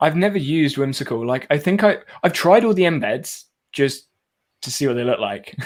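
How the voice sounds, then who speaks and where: Lively intonation at a fairly quick pace. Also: man, fairly high pitch for a man. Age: 20s. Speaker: tech youtuber. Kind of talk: live stream chat. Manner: fast.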